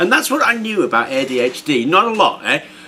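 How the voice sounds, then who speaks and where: This man's pitch swings very widely while noticeable background noise runs underneath. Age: 60s. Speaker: YouTuber. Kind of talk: casual vlog monologue. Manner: hesitant with fillers.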